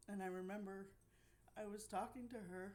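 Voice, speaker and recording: A woman with an American accent speaks at a medium pitch and a fairly slow pace. Audible room echo surrounds her voice. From Pennsylvania. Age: 50s. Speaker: spiritual life coach. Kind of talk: personal testimony. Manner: halting.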